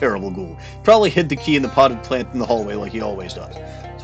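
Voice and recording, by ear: A passage is read out in a natural-sounding voice.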